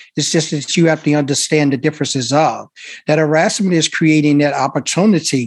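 A man with an American accent and an unremarkable speaking voice talks at a fairly quick pace. His pitch is fairly high, and the background is quiet. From Chicago. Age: 50s. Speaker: consultant and army veteran. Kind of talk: panel discussion.

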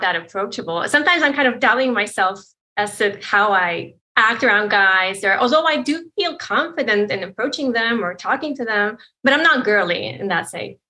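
Her American accent comes with a bright, sharp tone and lively intonation. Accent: sounds American. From Poland. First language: Polish. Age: 30s. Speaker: caller. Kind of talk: advice call conversation.

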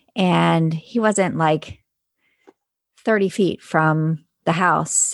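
A woman's unremarkable speaking voice sits at a fairly low pitch with ordinary pitch variation. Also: quiet background. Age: 40s. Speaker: foster and adoptive parent. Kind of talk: casual chat.

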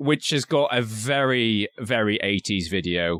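With ordinary pitch variation, a man talks at a medium pitch through noticeable background noise. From Scotland.

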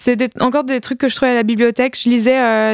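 A woman talks at a fairly quick pace in a high voice with monotone, flat intonation, on a very clean recording with a silent background and a dry, close sound with no echo. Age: 20s. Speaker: comic book author. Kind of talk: casual chat.

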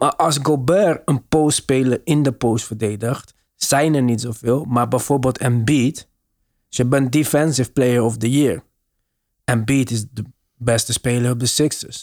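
An unremarkable speaking voice at a fairly slow pace with fairly even intonation, dry and close with no echo, on a very clean recording with a silent background. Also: man. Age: middle-aged. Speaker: basketball podcast host. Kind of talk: casual chat.

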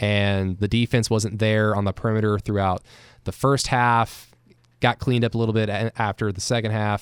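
On a very clean recording with a silent background and a dry, close sound with no echo, a man with a fairly low voice speaks at a moderate pace in a monotone, flat way. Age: 20s. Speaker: sports podcast host. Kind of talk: postgame sports talk show.

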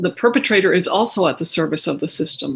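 A woman speaks in a somewhat breathy voice. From Mexico. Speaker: alternative therapy practitioner. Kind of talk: interview.

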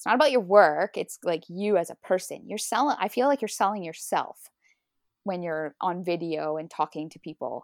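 A woman of medium pitch speaks with lively intonation and big swings in loudness. The recording is very clean, with a silent background and a dry, close sound with no echo. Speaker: landscape photographer. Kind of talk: casual interview. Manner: fast talker.

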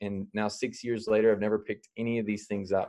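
A man speaks in a fairly low pitch with a dark, mellow tone. His intonation stays monotone and flat over a quiet background. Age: 30s. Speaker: self-defense instructor. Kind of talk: interview. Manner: halting.

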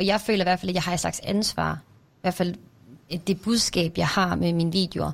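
Vocal fry runs through a monotone, flat delivery on a very clean recording with a silent background. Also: woman. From near Randers, Jutland, Denmark. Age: 20s. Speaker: TikToker.

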